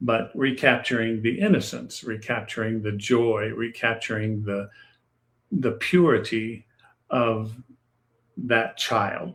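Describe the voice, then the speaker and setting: With fairly even intonation, a man talks at a very slow pace, leaving long, frequent pauses. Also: medium pitch for a man. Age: 70s. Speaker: author. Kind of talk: interview. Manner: halting.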